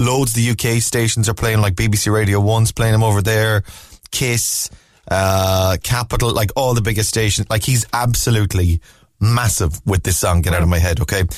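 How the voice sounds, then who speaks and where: A man with a Cork accent, fairly low pitch, ordinary pitch variation, very even loudness and a moderate pace, on a very clean recording with a silent background. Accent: Cork Irish. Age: 40s. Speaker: radio host. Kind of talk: casual chat. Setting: studio. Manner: animated.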